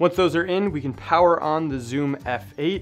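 A man talks at a fairly quick pace while music plays behind him. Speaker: audio gear tutor. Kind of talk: tutorial.

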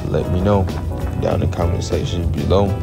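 Clear music plays in the background. A man talks at a moderate pace. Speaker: car owner vlogger. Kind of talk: casual vlog chat. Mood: calm, relaxed. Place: rain. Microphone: phone near.

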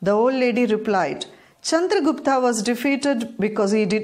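An unremarkable speaking voice, a woman with fairly high pitch talks at a moderate pace with ordinary pitch variation. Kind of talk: bedtime story, scripted narration read aloud. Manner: calm, even and measured, storyteller's pace; clear and formal, explaining the moral step by step.

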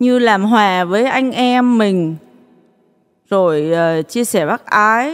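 Lively intonation and very even loudness mark this woman's medium-pitched voice. She talks at a very slow pace with long, frequent pauses. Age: 40s. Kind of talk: testimony.

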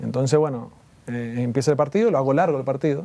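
The voice has a dark, mellow tone and ordinary pitch variation. Its pace is fairly quick. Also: man. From Argentina, Mendoza; Argentina. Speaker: former tennis player. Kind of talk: interview. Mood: somber, recalling hard memories. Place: studio. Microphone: lapel.

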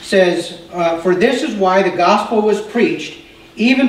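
Lively male speech at a moderate pace, with audible room echo and light background noise. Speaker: pastor. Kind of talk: sermon. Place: church.

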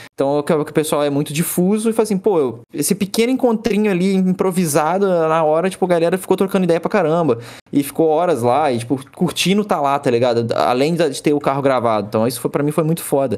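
A man's fairly high voice, a normal speaking voice, with lively intonation, very even loudness, a fairly quick pace, hardly any pauses and a quiet background. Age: 20s. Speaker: automotive YouTuber. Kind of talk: casual chat. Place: home room.

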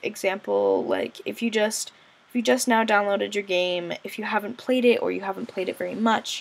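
A woman speaks with lively intonation and some vocal fry. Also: medium pitch for a woman, moderate pace.

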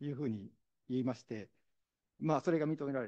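A man's medium-pitched voice, dark and mellow, with a dry, close sound and no echo. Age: 60s. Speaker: visually impaired university library employee. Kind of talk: testimony. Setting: forum stage with audience.

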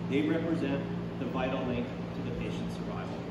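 A man is heard over loud background noise. The room echo is audible. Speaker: paramedic spokesperson. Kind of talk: prepared press statement. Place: hall. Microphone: podium.

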